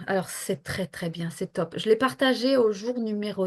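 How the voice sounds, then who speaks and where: Against a quiet background, a woman speaks at medium pitch. Her pace is fairly slow, with ordinary pitch variation. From northern France near Belgium. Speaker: health professional and coach. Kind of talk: interview. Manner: hesitant, many fillers.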